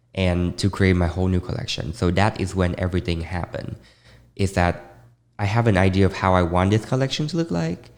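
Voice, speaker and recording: Vietnamese accent at a fairly quick pace. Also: man, very deep, low pitch for a man, fairly even intonation, very clean recording, silent background. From Vietnam, Ho Chi Minh City. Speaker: fashion designer. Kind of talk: interview.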